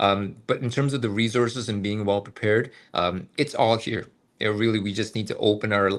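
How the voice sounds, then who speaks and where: At a moderate pace, a man with a Canadian accent speaks at a fairly low pitch with fairly even intonation. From Canada. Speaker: medical student. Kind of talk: webinar testimony. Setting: online webinar. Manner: halting, many fillers.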